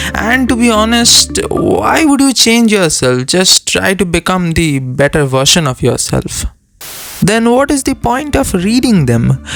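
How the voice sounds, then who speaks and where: Amid noticeable background noise, a man with a high voice speaks fairly slowly, swinging very widely in pitch while his loudness stays very even. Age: young. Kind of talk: opinion talk to camera.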